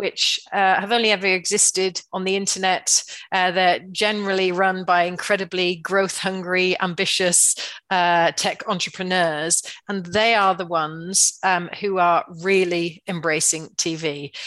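A woman's bright, sharp tone with fairly even intonation over a quiet background. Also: medium pitch for a woman, fairly slow pace. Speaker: TV industry chief executive. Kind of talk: interview.

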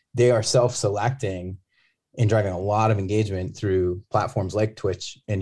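A man with an American accent speaks at a fairly low pitch, his tone dark and mellow and somewhat breathy. The recording is very clean, with a silent background. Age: 40s. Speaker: gaming company executive. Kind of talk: interview. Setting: on site at a conference.

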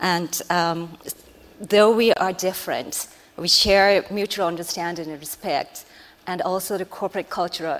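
With a Japanese accent, a woman speaks at a fairly low pitch and with fairly even intonation. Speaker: strategic planner. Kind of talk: panel discussion.

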